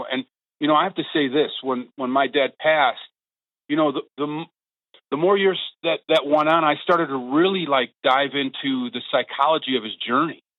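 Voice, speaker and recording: Using a normal speaking voice with an American accent, a man talks at a moderate pace with ordinary pitch variation. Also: fairly high pitch for a man. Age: 60s. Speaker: podcast host. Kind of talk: interview.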